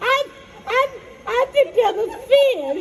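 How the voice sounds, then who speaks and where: A female-sounding, squeaky put-on character voice at an extremely high pitch moves at a fairly slow pace over clear background noise. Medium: stage play. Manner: giggly, flirtatious, rambling.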